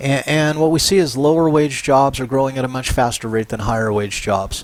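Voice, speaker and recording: Amid noticeable background noise, a man at a medium pitch talks with fairly even intonation. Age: 60s. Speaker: professor. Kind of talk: lecture. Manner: casual, conversational.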